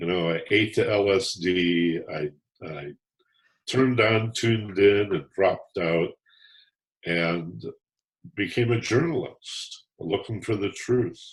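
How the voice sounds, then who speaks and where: The voice is somewhat breathy and moves at a very slow pace. Its pitch variation is ordinary, with long, frequent pauses. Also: man, fairly low pitch for a man. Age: 70s. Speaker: author and former talk radio host. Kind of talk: interview. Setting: podcast interview.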